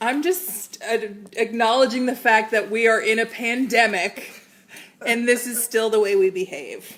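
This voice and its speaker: A plain, everyday voice from a woman, moderate in pace, fairly high-pitched, with ordinary pitch variation. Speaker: cooking show host. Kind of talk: casual livestream chat.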